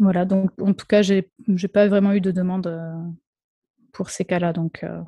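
A woman speaks at a medium pitch in a dark, mellow, somewhat breathy tone, monotone and flat, at a fairly slow pace with long, frequent pauses, in a dry, close sound with no echo. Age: 30s. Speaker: speech therapist. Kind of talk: interview.

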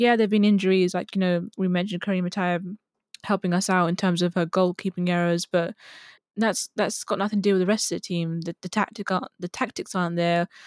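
Talking at a very fast pace, a woman with a medium pitch and monotone, flat intonation sounds dry and close with no echo in a very clean recording with a silent background. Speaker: co-host. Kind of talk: casual chat, match analysis.

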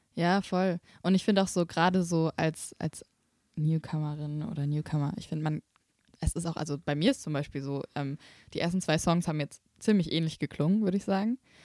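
This voice has a dark, mellow tone and ordinary pitch variation, moving at a fairly quick pace in a dry, close sound with no echo. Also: woman, fairly low pitch for a woman, very clean recording, silent background. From Swabia, Germany (Böblingen near Stuttgart). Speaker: singer-songwriter and student teacher. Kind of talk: casual chat. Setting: rehearsal room.

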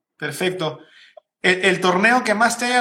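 This man speaks in a raised, projected voice with a high pitch. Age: 30s. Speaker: podcast host. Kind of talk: casual interview. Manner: halting, repeats words.

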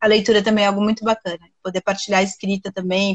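A woman speaks in a monotone, flat way at a fairly quick pace, somewhat breathy and at medium pitch. The sound is dry and close, with no echo. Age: 40s. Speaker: writer and journalism professor. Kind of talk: interview conversation.

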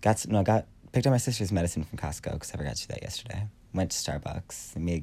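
A man's very deep, low voice comes out somewhat breathy and very fast. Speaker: podcast host. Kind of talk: casual chat. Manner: halting.

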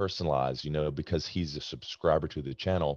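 A man speaks with a very deep, low pitch and fairly even intonation. The sound is dry and close with no echo, over a quiet background. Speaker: Navy veteran and fitness YouTuber. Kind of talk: casual interview chat.

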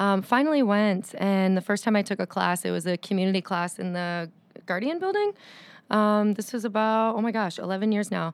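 On a very clean recording with a silent background, a woman speaks in a plain, everyday voice. Her pitch is medium with ordinary variation, and her pace is moderate. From Windsor, Ontario, Canada. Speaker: yoga teacher. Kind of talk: casual interview chat.

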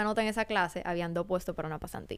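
A woman's speech shows ordinary pitch variation, recorded very cleanly against a silent background. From Dominican Republic, Santo Domingo. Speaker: aerospace design entrepreneur. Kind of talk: interview. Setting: studio.

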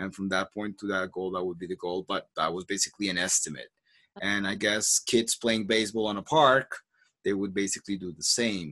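In a Spanish accent, a man with a fairly low pitch and a bright, sharp tone talks at a fairly quick pace with fairly even intonation. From Colombia. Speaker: podcast host, language coach. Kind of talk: casual chat. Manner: halting, many repetitions.

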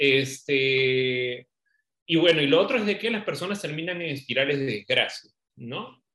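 At a fairly slow pace, a man with a plain, everyday voice speaks in a fairly high pitch with lively intonation. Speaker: podcast co-host. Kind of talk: casual discussion.

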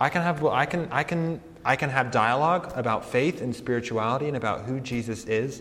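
With an American accent, a man talks at a fairly quick pace in a medium pitch, with ordinary pitch variation and audible room echo. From Colorado. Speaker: campus pastor. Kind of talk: sermon; welcome talk to students. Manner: casual, hesitant with fillers.

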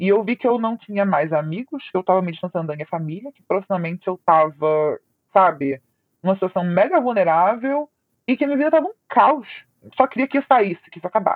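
The woman's loudness swings widely, and her medium-pitched voice has very wide pitch swings. She talks at a fairly quick pace. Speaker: former abuse victim sharing her story. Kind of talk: testimony.

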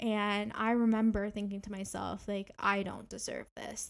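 In an ordinary speaking voice, a woman with a Canadian accent talks at a moderate pace and a fairly high pitch. The recording is very clean, with a silent background. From Canada, Ontario. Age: 20s. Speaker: podcast host and graduate student. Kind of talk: solo podcast monologue.

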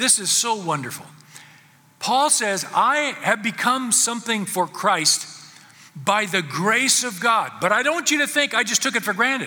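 A man's raised, projected voice, high in pitch, with lively intonation at a moderate pace. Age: 70s. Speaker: pastor. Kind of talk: sermon. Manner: halting.

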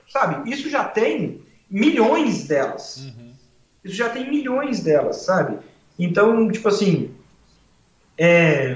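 A man with a high pitch talks at a very slow pace, with long, frequent pauses and big swings in loudness. His pitch swings very widely, and room echo is audible. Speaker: comedian. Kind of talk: casual chat. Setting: live stream.

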